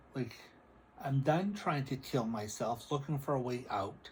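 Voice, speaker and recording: A somewhat breathy man's voice at a medium pitch, fairly slow, with ordinary pitch variation. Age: 60s. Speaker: psychic and spiritual video creator. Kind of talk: casual spiritual vlog monologue.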